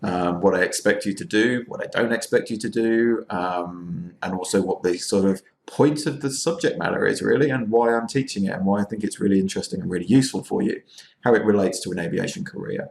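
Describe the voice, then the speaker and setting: The speech moves at a very fast pace with lively intonation. It is delivered in an English accent. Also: man, medium pitch for a man. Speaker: university lecturer. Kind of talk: recorded lecture. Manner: casual, informal; hesitant, many fillers.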